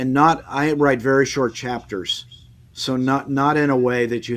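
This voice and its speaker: A man speaks with an American accent. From Washington State, US Pacific Northwest. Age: 60s. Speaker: author. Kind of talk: interview. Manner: halting, many restarts and fillers.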